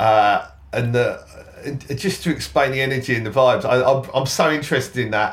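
At a moderate pace, a man with a southern English accent speaks at a medium pitch with ordinary pitch variation. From southern England, Kent. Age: 40s. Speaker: DJ and festival organiser. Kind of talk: casual chat.

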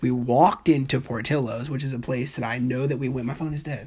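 A woman speaks in an American accent with a very deep, low pitch. Her tone is animated, and her pitch variation is ordinary. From US Midwest, Dayton, Ohio. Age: 20s. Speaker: podcast co-host. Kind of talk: casual debate.

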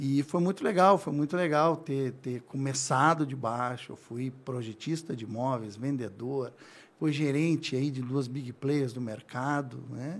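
The recording is very clean with a silent background. The speaker talks at a fairly slow pace. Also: man, fairly high pitch for a man, ordinary pitch variation. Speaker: furniture store owner. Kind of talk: interview. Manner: calm.

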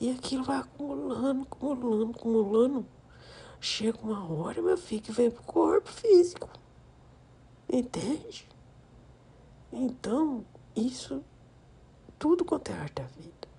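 A woman's gentle, soothing tone at a fairly slow pace, broken by long, frequent pauses. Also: big swings in loudness. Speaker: grandmother figure, podcast persona. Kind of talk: intimate grandmotherly monologue, warm ASMR-style chat and advice to her 'children'. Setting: recording alone on a phone app, voice only. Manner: gentle, affectionate and soothing, blessing listeners as she winds down.

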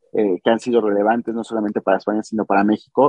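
With a Mexican accent, a man speaks in a flat monotone. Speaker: podcast host. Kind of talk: interview.

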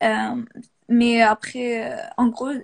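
A woman speaks with a fairly high pitch and fairly even intonation. The sound is dry and close, with no echo. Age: 20s. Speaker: industrial designer. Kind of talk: casual interview.

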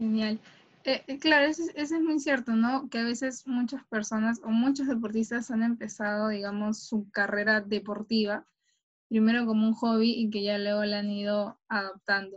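Somewhat breathy, a woman's fairly high pitch with ordinary pitch variation. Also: moderate pace. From Peru, Callao. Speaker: sports journalist. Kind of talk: interview.

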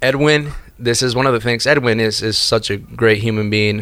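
In a Spanish accent, a man talks at a moderate pace and a medium pitch. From Argentina. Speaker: door-to-door salesperson. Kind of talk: casual interview chat. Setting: studio.

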